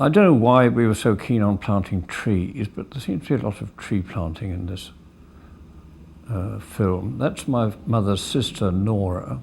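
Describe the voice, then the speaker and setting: Speaking in a southern English accent, a man has a fairly low pitch and lively intonation. His pace is fairly slow, and his voice is somewhat breathy. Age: 70s. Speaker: family film narrator. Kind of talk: home movie commentary. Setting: outdoors. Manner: casual, halting.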